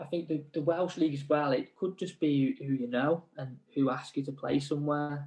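Here is a man with a fairly high pitch and a plain, everyday voice. He keeps a moderate pace and fairly even intonation, with hardly any pauses. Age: 30s. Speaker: semi-pro footballer. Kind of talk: casual interview.

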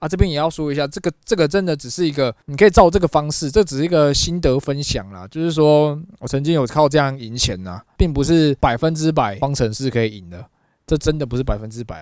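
With a Taiwanese accent, a man speaks at a very fast pace with hardly any pauses, lively intonation, fairly high pitch and big swings in loudness, in a very clean recording with a silent background. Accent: Taiwanese Mandarin. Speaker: podcast co-host. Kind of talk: casual chat.

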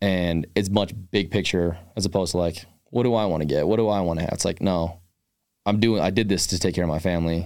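In a very clean recording with a silent background, a man with a very deep, low pitch and an American accent talks very fast with fairly even intonation. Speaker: professional football kicker. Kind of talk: casual chat.

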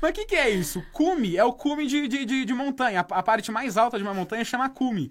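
Talking very fast with hardly any pauses, a man uses an extremely high pitch, lively intonation and an animated tone. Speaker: podcast host. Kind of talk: casual comedic chat.

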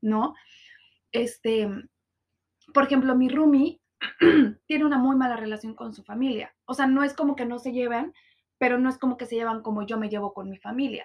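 A woman with a high pitch talks at a moderate pace, her intonation fairly even and her pauses long and frequent. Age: 20s. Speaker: podcast host. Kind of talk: personal monologue podcast. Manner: casual, with many fillers.

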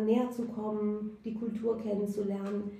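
A woman's fairly high-pitched voice with a Persian accent, flat and monotone, amid noticeable background noise and audible room echo. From Iran (Tehran), raised in Germany from age 9. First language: Persian (speaking German). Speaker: youth centre director and activist. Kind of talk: interview. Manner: halting, many fillers.

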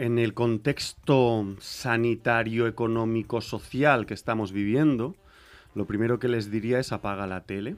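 A man's medium-pitched, a normal speaking voice, fairly slow and fairly even in intonation, on a very clean recording with a silent background. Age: 40s. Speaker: rapper and music producer. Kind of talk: casual interview.

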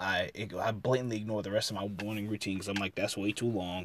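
The man has a fairly low pitch. He talks at a fairly quick pace. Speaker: solo podcast host. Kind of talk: casual monologue. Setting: home closet recording. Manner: fast.

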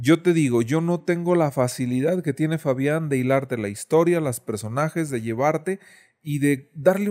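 A man's dark, mellow voice, fairly high in pitch, at a moderate pace with ordinary pitch variation. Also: very clean recording, silent background. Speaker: illustrator. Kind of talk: casual chat.

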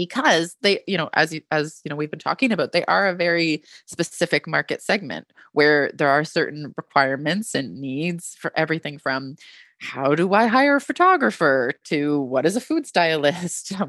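A woman with a Canadian accent speaks at a moderate pace, her pitch very deep and low and her intonation lively. The sound is dry and close with no echo, against a quiet background. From Canada. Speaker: literary agent. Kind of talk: casual interview.

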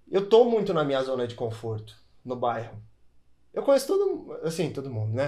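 A man's fairly high, somewhat breathy voice with a dark, mellow tone, a fairly quick pace, very wide pitch swings and audible room echo. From São Paulo, Brazil. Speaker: tattoo artist and youtuber. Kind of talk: casual chat. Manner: casual slangy delivery.

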